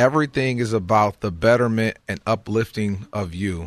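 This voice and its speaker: A man speaks at a moderate pace in a fairly low pitch. His pitch varies in an ordinary way against a quiet background. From Michigan. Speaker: motivational speaker. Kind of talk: interview. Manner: halting.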